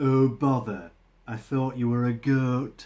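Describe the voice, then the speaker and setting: A bellowing put-on character voice at a fairly slow pace. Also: man. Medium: read story. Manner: gruff, roaring.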